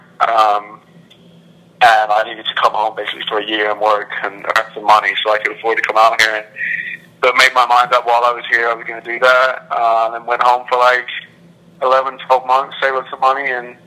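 With noticeable background noise behind him, a man speaks at a fairly quick pace in a monotone, flat intonation at a medium pitch. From England; Milton Keynes, England. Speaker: college soccer player.

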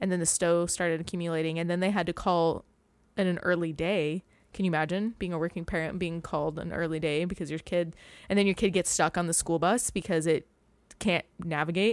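A woman's fairly low, a plain, everyday voice at a fairly quick pace with fairly even intonation, in a very clean recording with a silent background. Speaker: esthetician and podcast host. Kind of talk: casual chat.

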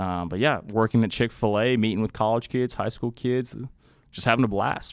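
In an American accent, a man talks at a moderate pace with a medium pitch and ordinary pitch variation, in an ordinary speaking voice. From Austin, Texas. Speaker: campus ministry worker. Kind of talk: testimony. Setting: studio.

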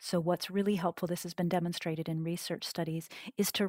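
A woman with an American accent speaks in a normal speaking voice. The recording is very clean, with a silent background. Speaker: cognitive scientist and author. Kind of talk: interview.

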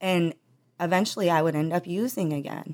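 Here is a woman with an American accent and an unremarkable speaking voice, pitched fairly low. Her pitch varies in an ordinary way on a very clean recording with a silent background. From rural northeast Ohio (Trumbull County). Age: 30s. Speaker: patient in addiction recovery. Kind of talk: testimony.

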